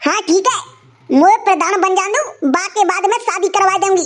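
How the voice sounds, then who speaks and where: A woman uses a cartoonish character voice with extremely high pitch and ordinary pitch variation. She keeps a moderate pace at very even loudness. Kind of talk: rustic village comedy. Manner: bossy, grumbling.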